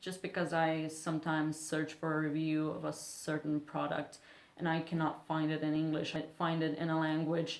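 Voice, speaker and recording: At a moderate pace, a woman speaks with a non-native accent and a very deep, low pitch. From Serbia. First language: Serbian. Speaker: beauty vlogger. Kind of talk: casual vlog talk.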